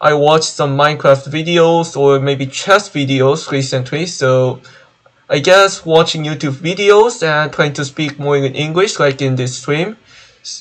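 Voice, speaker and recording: A man with a Korean accent, fairly slow in pace, with ordinary pitch variation. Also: fairly high pitch for a man. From South Korea. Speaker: gaming streamer. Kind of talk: gaming live stream commentary. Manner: halting.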